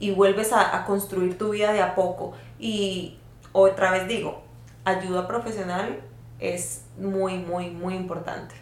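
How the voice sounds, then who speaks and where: Amid noticeable background noise and audible room echo, a woman speaks very slowly at a medium pitch with fairly even intonation. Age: 30s. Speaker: podcast guest sharing experiences. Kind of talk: casual chat.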